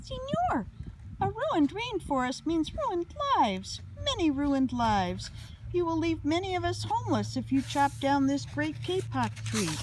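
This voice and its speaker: A woman puts on a squeaky character voice at a moderate pace. Clear background noise runs behind her. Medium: read story.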